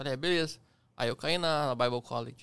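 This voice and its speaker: Pitch variation in the man's speech is ordinary. The recording is very clean, the background silent. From Curitiba, Paraná, southern Brazil. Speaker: airplane pilot. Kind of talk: casual chat.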